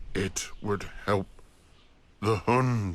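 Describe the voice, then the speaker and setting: This is a man in a put-on character voice. His pitch is fairly low. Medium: read story. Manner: cryptic, flat pronouncements.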